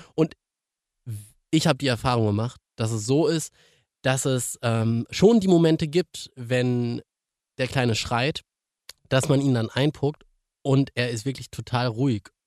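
Pausing long and often, a man speaks at a fairly slow pace with a medium pitch and ordinary pitch variation. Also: dry, close sound with no echo. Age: 30s. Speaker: radio podcast host. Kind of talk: casual chat.

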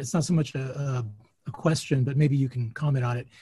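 The man's voice is somewhat breathy. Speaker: bookstore host. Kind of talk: event introduction. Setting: video call.

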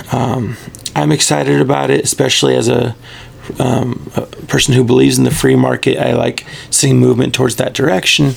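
Noticeable background noise sits under speech at a fairly quick pace with very even loudness. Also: man. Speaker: podcast host. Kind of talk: casual chat.

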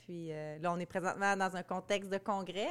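This woman's pitch is medium and her intonation fairly even. She keeps a moderate pace. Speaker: podcast host, marketing agency head. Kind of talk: casual interview. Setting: conference.

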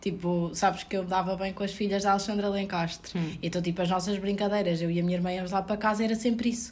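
A woman's medium-pitched, monotone voice in a European Portuguese accent, very fast with hardly any pauses, with audible room echo. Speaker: returning guest, friend of host. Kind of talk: casual chat. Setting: at home.

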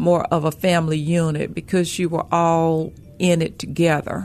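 A woman speaks in a Memphis accent with a fairly low voice. Her pace is fairly slow. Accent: Southern US, Memphis. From Memphis, Tennessee. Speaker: banker. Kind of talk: radio talk show interview.

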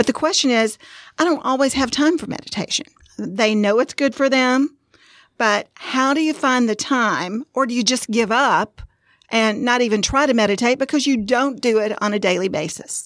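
On a very clean recording with a silent background, a woman speaks in a Southern US accent at a high pitch. Her pace is moderate and her pitch variation ordinary. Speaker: podcast co-host. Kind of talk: casual podcast chat.

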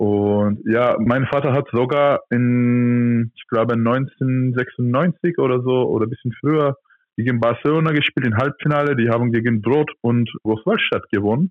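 Speaking at a fairly slow pace with hardly any pauses, a man keeps a medium pitch and fairly even intonation. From Turkey. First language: Turkish (speaking German). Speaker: professional handball player. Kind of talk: interview. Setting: phone or video call.

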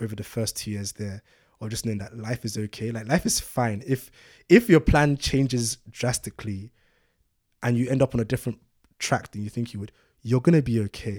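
A man with a London accent at a fairly quick pace, ordinary pitch variation, big swings in loudness, and a dry, close sound with no echo. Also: medium pitch for a man, very clean recording, silent background. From London, England (born in Nigeria, moved at six). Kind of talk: casual chat.

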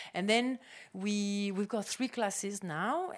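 In a French accent, the speaker talks at a fairly slow pace with ordinary pitch variation. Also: woman. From France. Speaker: tech incubator co-founder. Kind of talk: panel discussion.

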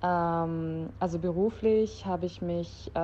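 A woman is speaking. Her pitch is fairly low. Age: 20s. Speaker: kindergarten teacher. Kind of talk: casual chat.

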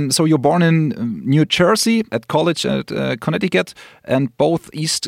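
A man with a German accent speaks at a fairly slow pace in a fairly high voice, recorded with a dry, close sound and no echo. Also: very clean recording, silent background. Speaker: radio podcast host. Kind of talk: casual interview; radio presenting.

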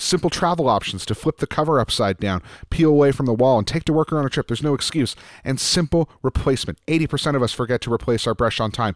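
Speaking at a very fast pace, a man keeps a medium pitch. The recording is very clean with a silent background. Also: dry, close sound with no echo. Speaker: podcast producer and co-host. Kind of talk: casual chat.

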